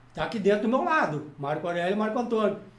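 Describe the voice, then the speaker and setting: The pitch swings very widely. There is audible echo from the room. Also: man. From southern Brazil (Rio Grande do Sul). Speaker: poet and music teacher. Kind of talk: casual chat.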